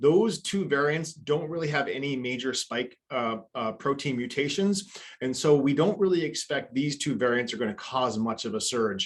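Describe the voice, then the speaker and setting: Speaking with hardly any pauses, a man uses lively intonation at a fairly high pitch. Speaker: family physician. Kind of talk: webinar lecture. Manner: fast; animated.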